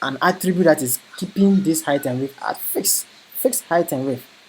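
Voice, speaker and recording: The speech runs at a moderate pace with noticeable background noise behind it. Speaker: web development instructor. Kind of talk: lecture.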